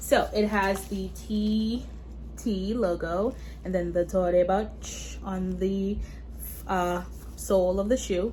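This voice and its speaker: Audible room echo surrounds a woman who speaks at a very slow pace, with long, frequent pauses. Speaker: beauty and fashion YouTuber. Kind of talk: product review unboxing. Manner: casual, chatty.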